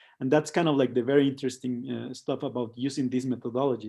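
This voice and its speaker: A man with a Spanish accent talks in a medium pitch with a dark, mellow tone. His intonation is monotone and flat. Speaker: co-founder of an immersive design studio. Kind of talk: online presentation. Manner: halting, many fillers and repetitions.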